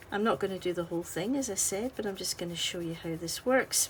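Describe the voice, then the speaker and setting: A woman with a Scottish accent speaks in a medium pitch, her tone relaxed and gentle, somewhat breathy, with lively intonation. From Scotland. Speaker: artist and colouring tutorial maker. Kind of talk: tutorial. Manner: relaxed, gentle.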